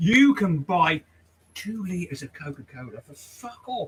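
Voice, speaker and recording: The speaker is a man with an English accent. His pitch swings very widely. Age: 60s. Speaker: barber and livestream host. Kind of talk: casual chat.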